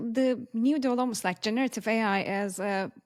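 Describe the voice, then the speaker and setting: A woman at a fairly high pitch and moderate pace, with ordinary pitch variation. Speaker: podcast host. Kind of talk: podcast interview.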